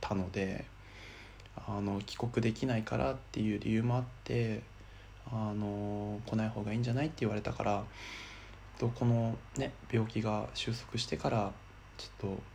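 A man with a fairly low, somewhat breathy voice speaks at a moderate pace with fairly even intonation. He takes long, frequent pauses, and audible room echo is present. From Miyagi, Japan. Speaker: podcaster. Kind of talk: personal monologue.

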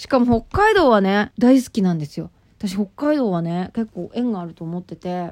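With lively intonation and big swings in loudness, a woman of medium pitch speaks at a moderate pace. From Japan, Nagano Prefecture. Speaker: radio personality. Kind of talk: casual talk radio monologue with letter reading. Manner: imitates local FM reporter style while reading.

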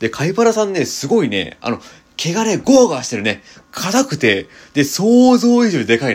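At a moderate pace, a man talks in a high voice with very wide pitch swings. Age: 20s. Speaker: podcaster. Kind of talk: casual chat.

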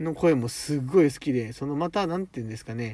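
The intonation is lively. A man speaks with a fairly high pitch. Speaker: podcast host. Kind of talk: casual monologue. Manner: animated.

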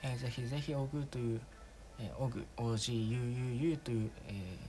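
A man's somewhat breathy voice at a medium pitch with fairly even intonation. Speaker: amateur podcaster. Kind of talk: casual monologue. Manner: relaxed and subdued, not projecting; halting, many fillers.

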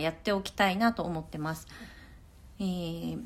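On a very clean recording with a silent background, a woman speaks at a fairly quick pace with a medium pitch and a bright, sharp tone. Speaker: podcaster, working parent and grad student. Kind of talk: solo talk. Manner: casual and polite.

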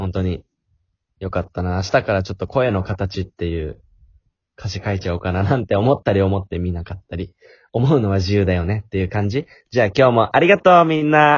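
Somewhat breathy speech at a fairly quick pace with lively intonation. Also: man, fairly low pitch for a man. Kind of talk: casual chat.

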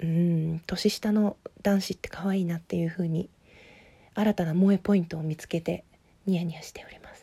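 A woman speaks at a fairly quick pace in a fairly low pitch with a dark, mellow tone. Her intonation is monotone and flat, and her voice is somewhat breathy. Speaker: podcaster discussing a TV drama. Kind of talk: casual monologue. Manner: fast.

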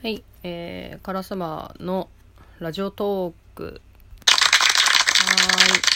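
A woman speaks quietly at a very slow pace with monotone, flat intonation. Her loudness swings a lot, and there is noticeable background noise. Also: medium pitch for a woman. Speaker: solo podcaster. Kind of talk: casual monologue. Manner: speaking quietly. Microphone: a bit far from the mic.

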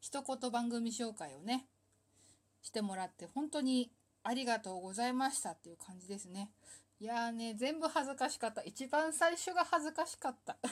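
An animated woman with a high pitch, lively intonation, big swings in loudness and a moderate pace, on a very clean recording with a silent background. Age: 30s. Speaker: solo talk show host. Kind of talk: casual monologue. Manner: animated, frequent laughter.

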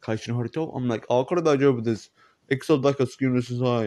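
This man's voice has a dark, mellow tone. He speaks at a fairly quick pace. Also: dry, close sound with no echo. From England. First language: English (speaking Japanese). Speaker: podcaster. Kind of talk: casual monologue. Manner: halting.

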